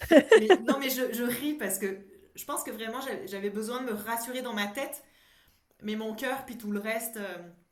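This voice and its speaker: A woman's fairly high voice at a moderate pace, with ordinary pitch variation, big swings in loudness and audible room echo. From France. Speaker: psychologist and coach. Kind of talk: casual interview. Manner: halting, many repetitions.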